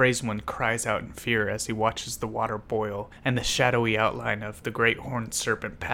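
A plain reading aloud of the text.

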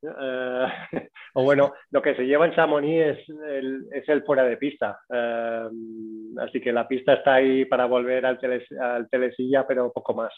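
Speaking in a flat monotone at a medium pitch, a man keeps to a fairly slow pace. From Mallorca, Spain. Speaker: breathing and cold exposure instructor. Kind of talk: interview. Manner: hesitant, with many fillers.

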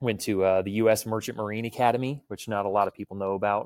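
On a very clean recording with a silent background, a man with an American accent uses a normal speaking voice, fairly low in pitch and fairly quick in pace, with a dry, close sound and no echo. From Texas, Clear Lake near Houston. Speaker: firearms and self-defense instructor. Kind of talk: casual interview chat.

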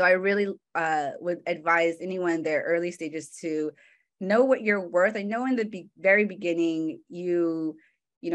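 A Californian accent at a moderate pace with ordinary pitch variation, over a quiet background. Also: woman. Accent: Californian American English. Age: 20s. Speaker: marketing manager. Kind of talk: talk with slides.

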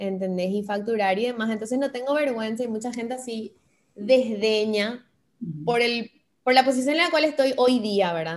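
Speaking in an unremarkable speaking voice, a woman keeps a moderate speed, her fairly high pitch moving with ordinary variation. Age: 20s. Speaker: radio and TV presenter, influencer. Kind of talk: interview conversation.

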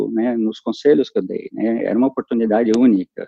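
A man talks at a moderate pace. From Brazil, São Paulo city. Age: 50s. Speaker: human resources executive. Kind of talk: interview. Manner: halting, many repetitions.

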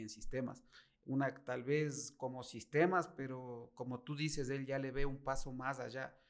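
A man speaks in a plain, everyday voice at a fairly slow pace. His pitch is medium and his intonation fairly even. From Ecuador, Latacunga. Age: 40s. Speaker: car salesman. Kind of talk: interview.

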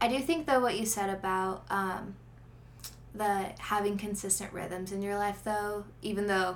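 A woman with a normal speaking voice talks at a fairly slow pace and medium pitch, keeping her intonation fairly even. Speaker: podcast guest. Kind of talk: casual chat.

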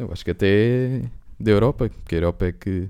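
This man's voice has a dark, mellow tone and a fairly low pitch. His pitch varies in an ordinary way. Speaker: podcast co-host. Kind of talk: casual chat.

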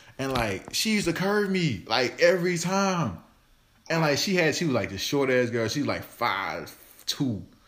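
Very wide pitch swings at a moderate pace, with audible room echo. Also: man. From Arkansas, Forrest City. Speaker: podcast host. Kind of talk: casual chat.

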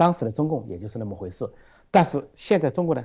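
A man's dark, mellow voice at a very fast pace, against a quiet background. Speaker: political commentator. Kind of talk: panel discussion. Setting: video call. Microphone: remote Skype line.

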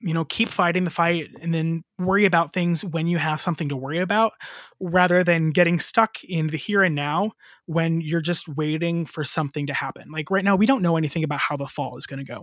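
A man with a Midwestern accent, high pitch, fairly even intonation, and a fairly quick pace on a very clean recording with a silent background. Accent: General American (Midwest). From US Midwest, northwest Ohio. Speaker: elementary music teacher. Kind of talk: casual interview.

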